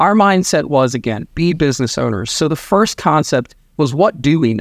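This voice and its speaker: Over a very clean recording with a silent background, a man with an American accent uses an ordinary speaking voice at a moderate pace with lively intonation. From Maryland. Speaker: real estate team leader. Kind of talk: interview.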